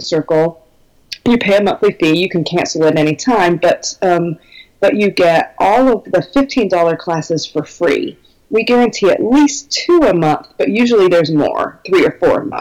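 A woman talks at a moderate pace and medium pitch with lively intonation. She has a plain, everyday voice. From Minnesota, US Midwest. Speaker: belly dance business teacher. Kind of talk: casual interview, informative.

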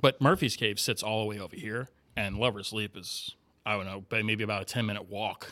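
Over a silent background on a very clean recording, a man with an American accent speaks at a fairly quick pace, his fairly low voice bright and sharp in tone with ordinary pitch variation. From Miami, Florida. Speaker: paranormal investigator and filmmaker. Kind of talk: casual interview chat.

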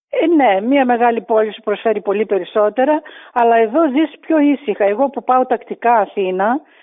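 Lively intonation from a woman at a high pitch, delivered at a moderate pace. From Greece, Thrace. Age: 60s. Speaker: grandmother. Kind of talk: interview.

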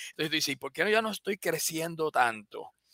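A man speaks in a fairly high pitch. His tone is bright and sharp. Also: dry, close sound with no echo. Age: 50s. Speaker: biomedical engineer and company CEO. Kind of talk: interview. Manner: halting, many repetitions.

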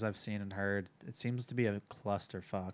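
Using an ordinary speaking voice, a man talks at a moderate pace with fairly low pitch and fairly even intonation. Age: 20s. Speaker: relationship manager. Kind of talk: casual chat.

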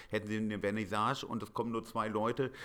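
The recording is very clean with a silent background. A man with a fairly low pitch speaks at a very fast pace. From Hamburg, northern Germany. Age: 40s. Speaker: painter. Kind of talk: interview.

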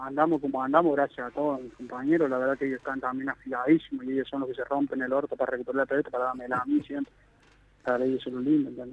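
A man's fairly high voice races along at a very fast pace. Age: 20s. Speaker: professional footballer. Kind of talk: interview.

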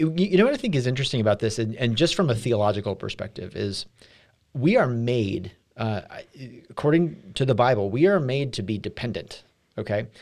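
This man has an ordinary speaking voice at a medium pitch, with lively intonation on a very clean recording against a silent background. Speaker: church staff podcast host. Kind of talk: casual chat about a sermon.

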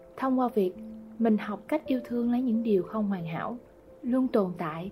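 Music plays in the background as a woman with a fairly high pitch speaks at a moderate pace with ordinary pitch variation. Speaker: podcast host. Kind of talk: scripted narration. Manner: soft-spoken.

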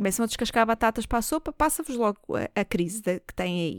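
A woman with a fairly high pitch and lively intonation at a moderate pace, in a dry, close sound with no echo on a very clean recording with a silent background. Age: 20s. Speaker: comedian and podcast host. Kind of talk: casual solo monologue. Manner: animated.

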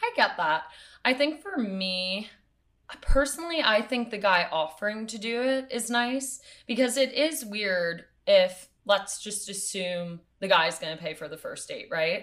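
A plain, everyday voice at a fairly slow pace, with lively intonation and big swings in loudness. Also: woman, fairly high pitch for a woman. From New York City. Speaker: podcast host. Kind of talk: casual chat; solo podcast intro.

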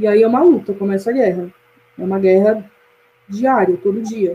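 Her pitch is fairly high. The speaker is a woman. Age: 20s. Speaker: university student, media analyst. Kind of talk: casual chat.

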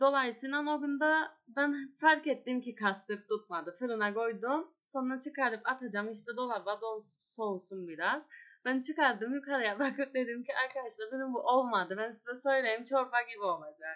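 With a Turkish Cypriot accent, a woman speaks in a high pitch at a moderate pace, her pitch varying in an ordinary way and hardly any pauses breaking her speech. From Northern Cyprus. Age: 20s. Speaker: cooking show contestant and gastronomy lecturer. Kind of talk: casual interview.

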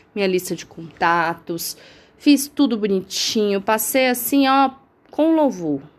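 A very slow-paced woman's voice, full of lively intonation. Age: 30s. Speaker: podcast host. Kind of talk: casual monologue. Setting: lying in bed at home.

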